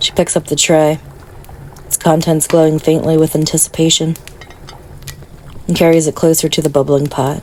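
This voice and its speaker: Over noticeable background noise, a woman with a very deep, low voice speaks in a soothing tone and monotone, flat intonation at a moderate pace. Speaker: meditation guide. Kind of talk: guided meditation sleep story. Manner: soft-spoken, soothing.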